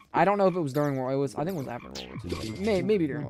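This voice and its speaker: A man talks with a slight Southern US accent and ordinary pitch variation. Noticeable background noise runs underneath. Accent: lighter Southern US, used to be heavier. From Tennessee, US South. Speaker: gaming live streamer. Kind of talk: casual live stream commentary. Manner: halting, repetitive.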